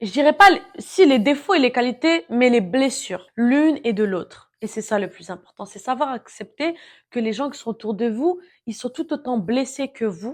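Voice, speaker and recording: In a very clean recording with a silent background, a woman with a high pitch speaks at a moderate pace in an animated tone, her intonation lively and her loudness swinging widely. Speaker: self-help vlogger. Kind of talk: casual monologue.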